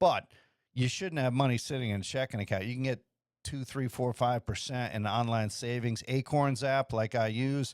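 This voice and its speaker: In an unremarkable speaking voice, a man talks at medium pitch and a moderate pace with fairly even intonation, on a very clean recording with a silent background and a dry, close sound with no echo. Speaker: podcast host giving money advice. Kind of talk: casual podcast monologue answering emails. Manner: loose, rambling with fillers and self-corrections.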